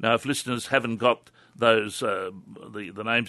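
A man with an Australian accent speaks in a bright, sharp tone with fairly even intonation, the sound dry and close with no echo. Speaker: herbal medicine practitioner. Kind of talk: radio interview on health.

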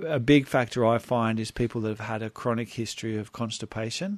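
In an Australian accent, a man speaks at a fairly quick pace and medium pitch with fairly even intonation over a quiet background. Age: 50s. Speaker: health practitioner. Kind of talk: radio interview.

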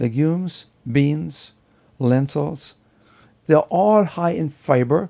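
In a German accent, a man speaks at a fairly slow pace. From Germany. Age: 70s. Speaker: professor of preventive medicine. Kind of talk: interview.

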